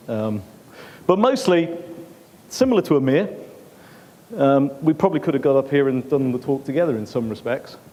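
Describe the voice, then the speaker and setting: A man with an English accent talks at a fairly quick pace. His pitch is fairly high and his intonation lively. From England. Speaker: conference speaker, ex-military. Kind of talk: conference talk. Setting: stage with audience. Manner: animated.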